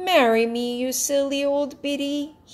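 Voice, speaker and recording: A woman's put-on character voice, high-pitched, with fairly even intonation at a fairly slow pace. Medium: read story. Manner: loud, quarrelsome.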